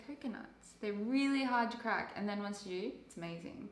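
A woman at a moderate pace with ordinary pitch variation and audible room echo. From Sydney, Australia. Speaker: intern. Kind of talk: casual chat. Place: home room. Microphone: camera far.

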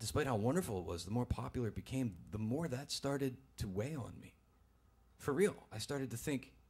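The voice belongs to a man and is somewhat breathy. He speaks at a fairly quick pace. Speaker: storyteller. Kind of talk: personal story told on stage. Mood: earnest, conflicted. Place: stage. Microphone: studio mic.

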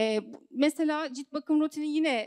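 A woman at a moderate pace against a quiet background. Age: 30s. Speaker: singer and network marketing seller; network marketing seller. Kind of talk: sales seminar talk. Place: hall. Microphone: handheld.

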